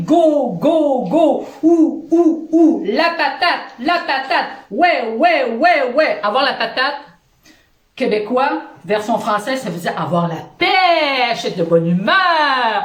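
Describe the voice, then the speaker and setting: A woman's high-pitched voice at a very slow pace, with very wide pitch swings. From Quebec. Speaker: positive-thinking vlogger. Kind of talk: casual talk to camera. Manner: upbeat, energetic.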